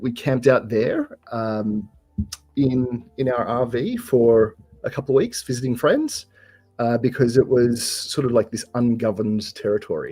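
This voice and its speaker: A man talks with an Australian accent. Music plays in the background. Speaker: software developer guest. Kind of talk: casual chat. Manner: halting, many fillers.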